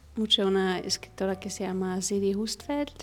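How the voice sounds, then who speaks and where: A woman speaks in a German accent at a medium pitch. Her intonation is monotone and flat. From Egypt. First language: German (speaking Spanish). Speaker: architect and furniture artisan. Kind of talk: interview. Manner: halting, many fillers and restarts.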